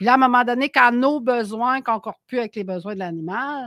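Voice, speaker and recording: A woman speaks with a plain, everyday voice, lively intonation and a moderate pace. The sound is dry and close with no echo, on a very clean recording with a silent background. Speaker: animal shelter founder. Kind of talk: casual chat.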